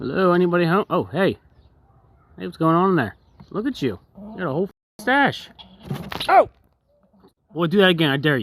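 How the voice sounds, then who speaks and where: In a put-on character voice at middle pitch, the speaker moves at a fairly quick pace yet leaves long, frequent pauses. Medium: voice reel. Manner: casual, teasing slang.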